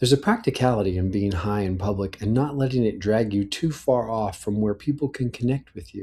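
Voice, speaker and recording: Recorded very cleanly with a silent background, a man with an American accent speaks at a moderate pace in a fairly low, somewhat breathy voice with ordinary pitch variation. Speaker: personal audio letter writer. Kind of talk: reading aloud a personal letter.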